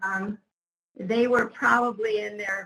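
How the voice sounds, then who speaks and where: Bright and sharp in tone, the voice moves at a fairly slow pace with fairly even intonation. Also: woman. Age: 70s. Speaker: behavior analyst, conference panelist. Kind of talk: panel discussion.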